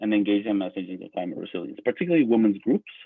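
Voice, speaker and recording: Lively intonation marks this man's delivery. His pitch sits at a medium level. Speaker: conference presenter. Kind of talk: conference presentation. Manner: fast.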